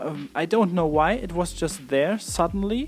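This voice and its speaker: A man speaks with a German accent and ordinary pitch variation. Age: 30s. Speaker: graffiti artist. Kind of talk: interview. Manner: halting.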